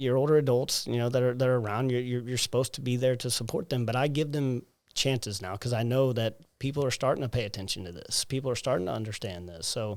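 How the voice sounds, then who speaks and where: Talking at a very fast pace, a man with a Southern US accent has a medium pitch and ordinary pitch variation. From US South, South Alabama. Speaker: personal trainer, gym owner. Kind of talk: interview. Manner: animated.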